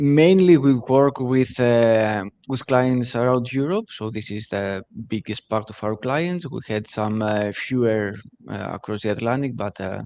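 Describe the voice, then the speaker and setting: Speaking at a fairly slow pace in a Greek accent, a man of medium pitch has a dark, mellow tone and ordinary pitch variation. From Greece. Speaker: digital agency CEO. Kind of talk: webinar interview. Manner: halting, many fillers.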